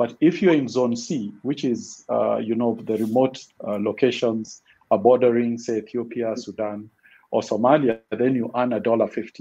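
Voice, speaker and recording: With a dark, mellow tone, a man speaks at a moderate pace and medium pitch, keeping his intonation fairly even. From Kenya. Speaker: financial inclusion expert; panelist. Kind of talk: panel discussion. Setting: online webinar. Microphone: video call.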